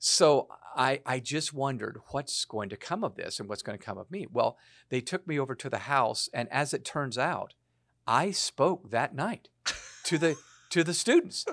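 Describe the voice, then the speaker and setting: A man speaks at a moderate pace with lively intonation. He has an ordinary speaking voice. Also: fairly high pitch for a man, very clean recording, silent background. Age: 60s. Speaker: author and speaker on leadership and generations. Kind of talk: casual chat.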